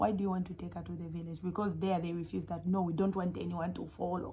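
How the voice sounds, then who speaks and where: There is audible room echo as a woman speaks at a fairly quick pace in a fairly low pitch, her tone dark and mellow and somewhat breathy. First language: not English. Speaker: YouTuber sharing faith testimony. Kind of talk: testimony. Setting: recording at home at midnight. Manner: animated.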